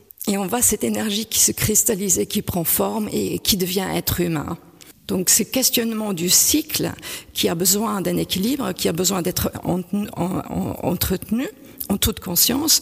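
Over noticeable background noise, a woman speaks with lively intonation and very even loudness. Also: medium pitch for a woman, moderate pace. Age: 50s. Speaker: painter. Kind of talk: interview. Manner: halting, with repetitions.

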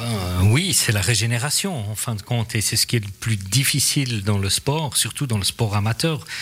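A Vaud accent at a moderate pace, with ordinary pitch variation and noticeable background noise. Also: man, medium pitch for a man, hardly any pauses. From Switzerland, Vaud region. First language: English or Swiss German (speaking French). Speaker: ice hockey league official and school dean. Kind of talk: casual chat.

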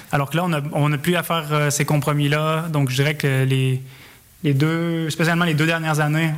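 A man speaks in a Quebec accent at a fairly high pitch and a moderate pace. His intonation is monotone and flat. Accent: Québécois. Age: 30s. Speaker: amateur runner. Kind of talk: radio interview.

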